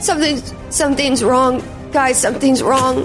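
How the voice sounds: A robotic, put-on character voice speaks at a fairly slow pace over loud background music. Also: woman, high pitch for a woman.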